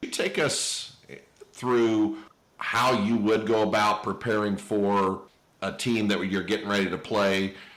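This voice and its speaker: A man's fairly low voice at a fairly slow pace, fairly even in intonation, with audible room echo. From Indiana (Terre Haute). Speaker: podcast host. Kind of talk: casual interview chat.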